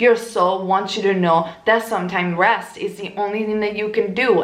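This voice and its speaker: With an Italian accent, a woman speaks at a moderate pace with ordinary pitch variation over noticeable background noise. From Italy. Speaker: tarot reader. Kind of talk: tarot reading monologue.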